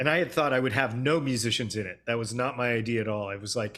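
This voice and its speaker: On a very clean recording with a silent background, a man with an American accent speaks at a medium pitch with ordinary pitch variation. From US West Coast, Los Angeles. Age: 60s. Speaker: film director. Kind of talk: interview.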